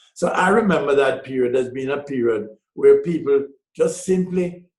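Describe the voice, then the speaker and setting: Here a man talks at a moderate pace. His pitch varies in an ordinary way, and audible room echo surrounds him. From Jamaica. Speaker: businessman and author. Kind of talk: interview. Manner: halting.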